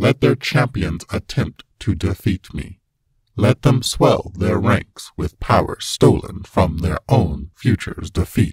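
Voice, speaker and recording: A man's robotic, put-on character voice at a fairly low pitch and fairly slow pace. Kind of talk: villain monologue. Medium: dub. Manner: cold, menacing.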